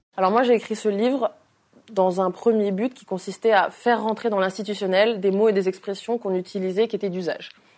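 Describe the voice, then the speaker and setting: A woman with a medium pitch speaks fairly quickly, her intonation fairly even but her loudness swinging widely. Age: 20s. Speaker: influencer and author. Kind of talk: interview. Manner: outspoken, frank.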